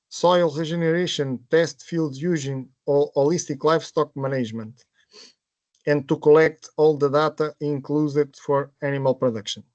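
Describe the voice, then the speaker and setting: With a Portuguese accent, a man speaks at a moderate pace and a fairly high pitch, his intonation fairly even and the sound dry and close with no echo. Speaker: project presenter. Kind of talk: webinar presentation. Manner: halting.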